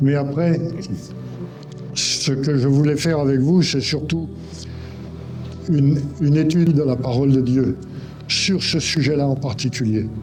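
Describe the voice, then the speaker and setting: Against music in the background and audible room echo, a man speaks with a fairly high pitch, fairly even intonation and very even loudness at a fairly slow pace, leaving long, frequent pauses. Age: 70s. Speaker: guest preacher. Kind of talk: sermon. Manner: halting.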